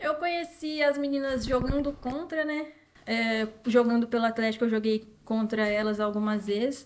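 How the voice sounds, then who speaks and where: At a moderate pace, a woman uses an ordinary speaking voice, fairly high in pitch with ordinary pitch variation. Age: 20s. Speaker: professional footballer. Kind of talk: interview.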